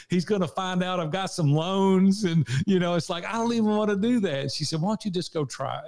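Talking at a fairly quick pace in a strong Southern US accent, a man with a high pitch keeps his intonation lively. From US South, Nashville, Tennessee. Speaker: small business owner and leadership coach. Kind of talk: interview conversation. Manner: animated.

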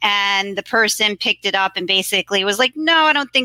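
In a plain, everyday voice with an American accent, a woman speaks at medium pitch and a fairly quick pace, with ordinary pitch variation and a dry, close sound with no echo. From New York City, Queens. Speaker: graphic designer. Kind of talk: interview.

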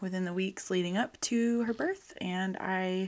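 A woman speaks at a medium pitch with ordinary pitch variation, recorded very cleanly against a silent background. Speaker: podcast host and astrologer. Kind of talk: casual podcast monologue. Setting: home office. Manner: talking quieter than usual.

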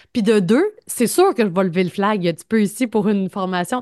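Against a quiet background, a woman talks at a moderate pace, the sound dry and close with no echo. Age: 30s. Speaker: podcast co-host, journalist. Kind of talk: casual chat.

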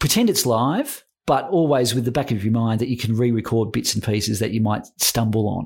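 On a very clean recording with a silent background, a man with an Australian accent speaks at a fairly quick pace, medium in pitch, somewhat breathy, with ordinary pitch variation and very even loudness. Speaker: podcast producer.

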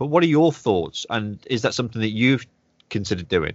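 A man with a Manchester accent, medium pitch, lively intonation and a fairly quick pace. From northwest England, Manchester. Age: 40s. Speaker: podcast host. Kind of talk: casual interview chat.

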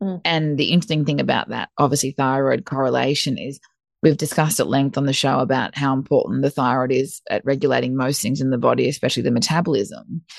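Very deep and low in pitch with vocal fry, a woman talks very fast with ordinary pitch variation, in a dry, close recording with no echo and a quiet background. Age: 30s. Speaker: nutritionist. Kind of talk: casual interview chat.

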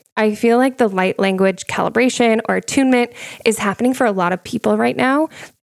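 A woman speaks at a very fast pace and fairly high pitch in an animated tone, with ordinary pitch variation, very even loudness, and a dry, close sound with no echo. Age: 30s. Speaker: spiritual podcast host and psychic medium. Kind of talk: casual solo monologue.

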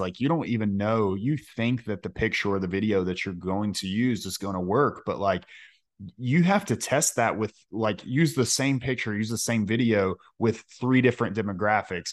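An ordinary speaking voice with ordinary pitch variation keeps a moderate pace against a quiet background. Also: man. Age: 20s. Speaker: podcast host, detailer, Navy veteran. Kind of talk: casual chat; podcast ad read.

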